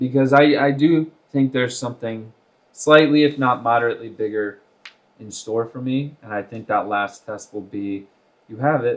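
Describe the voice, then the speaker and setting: In an American accent, a man with a normal speaking voice talks at a moderate pace and medium pitch, with ordinary pitch variation and big swings in loudness. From Iowa, US Midwest. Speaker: actor. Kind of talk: interview conversation.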